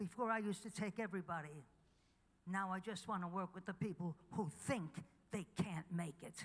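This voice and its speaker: Speaking at a moderate pace, a woman with a medium pitch sounds somewhat breathy and shows ordinary pitch variation. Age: 80s+. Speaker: chiropractic teacher receiving award. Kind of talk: award acceptance speech. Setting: stage with audience.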